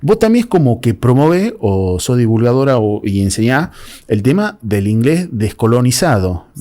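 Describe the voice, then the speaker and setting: A man with a dark, mellow tone and medium pitch talks at a fairly slow pace, his pitch swinging very widely. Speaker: podcast host. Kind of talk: casual interview.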